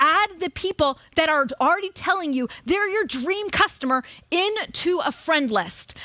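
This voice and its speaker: An animated, raised and projected voice with a bright, sharp tone moves at a moderate pace. The pitch swings very widely, and the sound is dry and close with no echo. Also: woman. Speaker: marketing coach on stage. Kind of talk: live seminar presentation.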